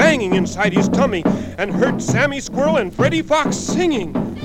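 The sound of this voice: The reading is delivered in an unforced reading voice.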